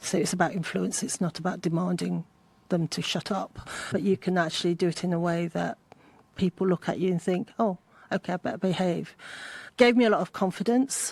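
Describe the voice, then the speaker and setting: On a very clean recording with a silent background and a dry, close sound with no echo, a woman with a medium pitch and vocal fry speaks fairly quickly with fairly even intonation. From England (Essex, then Leicestershire). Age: 60s. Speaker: healthcare technology executive. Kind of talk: interview conversation.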